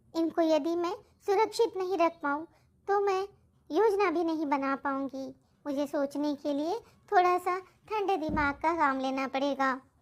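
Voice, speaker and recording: In a cartoonish character voice, a female-sounding speaker uses an extremely high pitch for a woman and a fairly slow pace. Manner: polite, respectful to the king.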